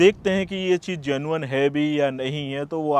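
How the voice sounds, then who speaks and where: A man talks at a moderate pace in a normal speaking voice, fairly high, with fairly even intonation. The sound is dry and close with no echo, against a quiet background. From India. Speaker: YouTuber giving UK immigration advice. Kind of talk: video tutorial monologue. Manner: casual, conversational.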